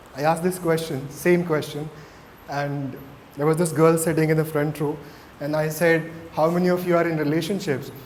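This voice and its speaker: A man talks at a fairly quick pace in a fairly high pitch, with noticeable background noise and audible room echo. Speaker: mindfulness coach. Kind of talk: interactive talk to students. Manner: hesitant, with fillers.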